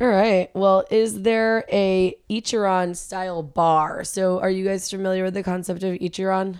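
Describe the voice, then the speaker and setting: Flat and monotone, a woman speaks at medium pitch and a moderate pace. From New England, US. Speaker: podcast co-host and restaurant manager. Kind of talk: casual chat.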